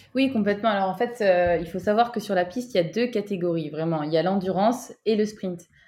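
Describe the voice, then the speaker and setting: A plain, everyday voice moves at a fairly quick pace with hardly any pauses and ordinary pitch variation against a quiet background. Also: woman, medium pitch for a woman. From southern France, Toulouse. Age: 20s. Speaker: track cyclist, Olympic athlete. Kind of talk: interview conversation.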